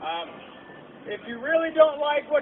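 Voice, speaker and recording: Extremely high-pitched male voice amid noticeable background noise. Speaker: meeting facilitator. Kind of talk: public meeting facilitation. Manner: halting.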